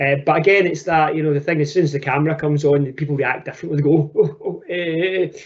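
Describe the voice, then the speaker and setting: Speaking very fast with hardly any pauses, a man with a strong Scottish accent keeps a fairly high pitch and a monotone, flat intonation. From Scotland. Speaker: teacher and education technology presenter. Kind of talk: webinar presentation. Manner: casual, repetitive with fillers.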